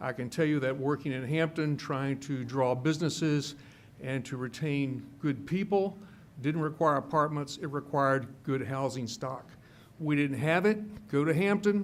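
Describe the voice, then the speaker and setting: This man has a fairly high pitch. His pitch varies in an ordinary way. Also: moderate pace. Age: 60s. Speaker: public commenter at county meeting. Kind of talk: public comment speech. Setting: public meeting. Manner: halting, many fillers.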